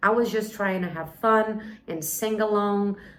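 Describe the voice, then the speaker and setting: A woman's medium-pitched voice at a fairly slow pace, with audible room echo and noticeable background noise. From Brazil. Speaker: English teacher. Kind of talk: personal story and language tips. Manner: clear and measured for listening practice.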